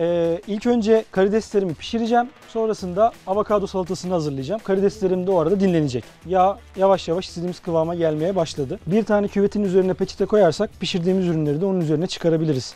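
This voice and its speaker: Against faint music in the background, a man with a high pitch rattles on at a very fast pace with hardly any pauses, ordinary pitch variation and a dry sound with no echo. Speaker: instructor chef. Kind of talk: cooking tutorial. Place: garden. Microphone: lapel.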